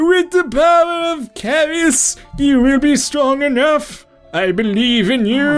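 Faint music plays in the background as a put-on character voice speaks at a fairly slow pace.

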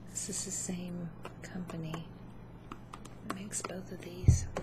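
Loud background noise surrounds a soft-spoken woman who speaks at a fairly slow pace. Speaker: makeup demonstrator. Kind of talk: casual makeup tutorial chat. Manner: soft-spoken ASMR murmur. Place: home room. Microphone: webcam.

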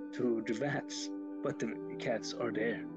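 Over clear music in the background, a man speaks at a fairly slow pace. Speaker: channel host. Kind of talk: casual vlog storytelling. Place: home room. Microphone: webcam.

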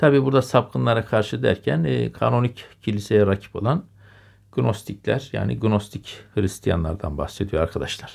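Pitched fairly low, a man talks at a moderate pace with vocal fry and very wide pitch swings. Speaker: history video lecturer. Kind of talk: lecture. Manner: hesitant, many filler sounds. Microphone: new microphone.

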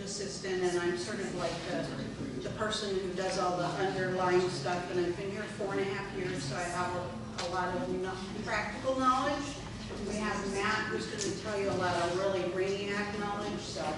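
Loud background noise and audible room echo fill this recording. A woman speaks at a moderate pace with ordinary pitch variation. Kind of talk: informal presentation. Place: hall. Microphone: camera far.

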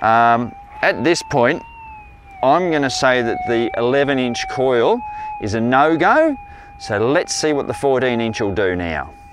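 A man speaks at a very slow pace with long, frequent pauses. The sound is dry with no echo, and there is noticeable background noise. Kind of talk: tutorial. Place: beach.

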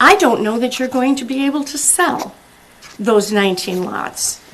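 Female speaker with lively intonation at a fairly slow pace, amid audible room echo and noticeable background noise. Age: 70s. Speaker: resident giving public comment. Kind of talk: public comment at council meeting. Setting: city council meeting. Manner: halting.

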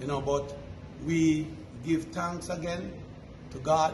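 Amid noticeable background noise and audible room echo, a man speaks at a fairly slow pace with a fairly high pitch and ordinary pitch variation. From Jamaica. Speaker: charity foundation representative. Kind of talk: news interview.

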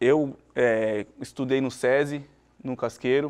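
Against a quiet background, a man speaks at a medium pitch in a monotone, flat intonation. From Brazil, Cubatão (São Paulo coast); São Paulo, Brazil. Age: 30s. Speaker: former professional footballer. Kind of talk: interview. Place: studio. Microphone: lapel.

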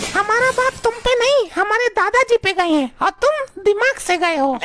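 An extremely high pitch marks this cartoonish character voice. The delivery is moderately paced. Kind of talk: desi cartoon comedy.

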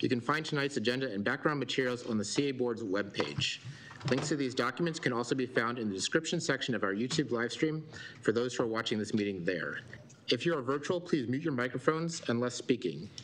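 Speaking very quickly, a man keeps his pitch variation ordinary. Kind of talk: formal meeting procedure. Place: meeting room. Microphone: podium.

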